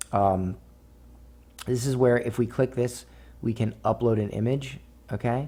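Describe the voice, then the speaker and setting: A man speaks at a medium pitch in a dark, mellow, somewhat breathy tone. He keeps a fairly slow pace with fairly even intonation. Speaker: online marketing instructor. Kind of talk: tutorial. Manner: slow, explanatory; casual, filler-heavy.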